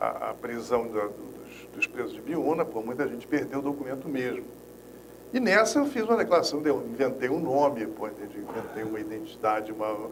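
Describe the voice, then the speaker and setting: Medium pitch from a man with lively intonation at a fairly quick pace, plus noticeable background noise and audible room echo. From Rio de Janeiro, Brazil. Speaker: former political prisoner, agroecologist. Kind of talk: interview, personal testimony.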